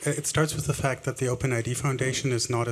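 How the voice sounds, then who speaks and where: Someone with a German accent talks at a very fast pace. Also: man. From Germany. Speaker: audience member asking question. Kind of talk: audience question and debate.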